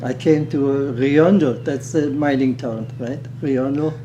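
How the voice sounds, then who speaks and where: A man with a German accent speaks with fairly even intonation against noticeable background noise. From Germany, Berlin. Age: 80s+. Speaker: retired underground miner. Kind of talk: interview. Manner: halting.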